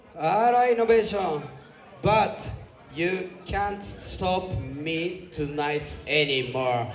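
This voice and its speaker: In audible room echo and noticeable background noise, a man with a Japanese accent speaks at a very slow pace with a high pitch and lively intonation. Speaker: sound system selector. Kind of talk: sound clash performance.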